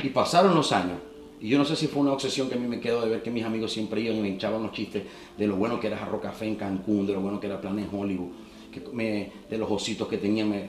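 Over noticeable background noise and audible room echo, a man speaks at a very fast pace. His voice is fairly low, with ordinary pitch variation. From Venezuela, Maracaibo (Zulia). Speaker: entertainer and former radio presenter. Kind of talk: casual interview.

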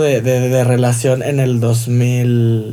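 In a Mexican accent, a man speaks at a medium pitch with a dark, mellow tone and audible room echo. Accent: Mexican Spanish (Jalisco). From Mexico, Guadalajara, Jalisco. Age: 20s. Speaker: fashion designer. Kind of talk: interview.

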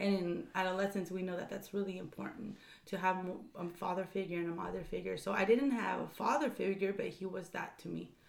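A woman's medium-pitched voice at a fairly quick pace, with ordinary pitch variation and noticeable background noise. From Orange County, California (moved from Mexico City at 7). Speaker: education nonprofit co-founder. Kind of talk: casual interview.

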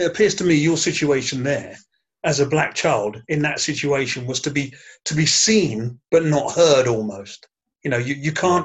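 Somewhat breathy and fairly high-pitched, a man speaks with ordinary pitch variation. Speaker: podcast host moderating panel. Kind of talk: panel discussion podcast.

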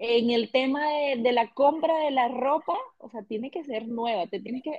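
Lively intonation and a fairly slow pace from a woman with a high-pitched voice. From Venezuela. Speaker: podcast co-host. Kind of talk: casual chat.

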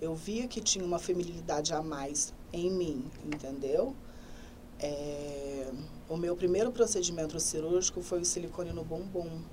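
A woman speaks at a fairly slow pace and fairly low pitch, with audible room echo. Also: ordinary pitch variation. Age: 20s. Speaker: hairdresser. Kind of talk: interview. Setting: studio.

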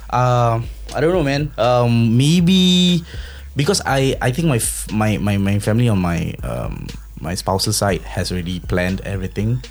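Noticeable background noise is present. Over it, a man speaks at a moderate pace. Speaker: podcast host. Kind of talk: casual chat.

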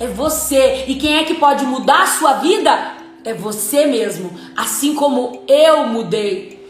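With music in the background and audible room echo, a woman speaks very slowly at a high pitch with lively intonation. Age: 30s. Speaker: entrepreneur and life coach. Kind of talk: motivational talk. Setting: Instagram live.

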